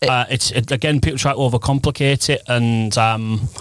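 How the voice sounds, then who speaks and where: Speaking in a Teesside accent, a man keeps his intonation fairly even. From northern England, Teesside (Redcar area). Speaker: marketing agency managing director. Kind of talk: casual interview chat.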